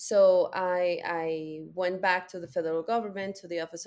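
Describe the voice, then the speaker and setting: The speaker has a Spanish accent and a moderate pace. The intonation stays fairly even. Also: woman. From Mexico. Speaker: data policy consultant. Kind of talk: interview.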